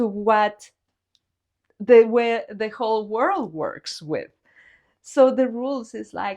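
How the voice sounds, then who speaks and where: Over a quiet background, a woman with a Spanish accent speaks at a very slow pace and a fairly high pitch, with ordinary pitch variation, big swings in loudness, and long, frequent pauses. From Guatemala. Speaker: visual artist. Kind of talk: interview. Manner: halting.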